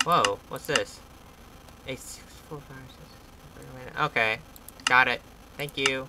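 With long, frequent pauses, the speech unfolds at a very slow pace over loud background noise. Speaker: gamer. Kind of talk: casual gameplay commentary. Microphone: camera far.

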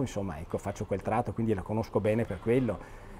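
Somewhat breathy and dark, mellow in tone, a man speaks at a fairly low pitch over light background noise. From Vicenza, Veneto, northern Italy; Veneto, Italy. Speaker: architect; interviewee. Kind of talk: interview commenting on photos. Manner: halting, many repetitions and fillers. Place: home room.

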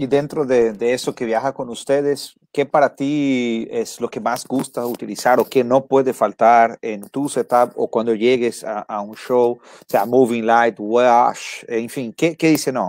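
Speaking very slowly, a man uses a medium pitch with ordinary pitch variation, and the sound is dry and close with no echo. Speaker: podcast host. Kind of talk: interview.

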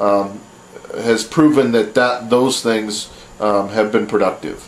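At a fairly slow pace, the voice comes through with audible room echo and light background noise. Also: man. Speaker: vlogger. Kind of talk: opinion commentary vlog. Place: home room. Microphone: webcam.

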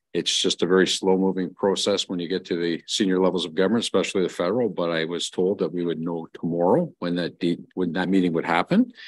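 A man speaks at a fairly quick pace in a very deep, low voice with a Canadian accent. The background is quiet. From Ontario, Canada. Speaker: mayor chairing council meeting. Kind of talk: council meeting. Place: meeting room. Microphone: podium.

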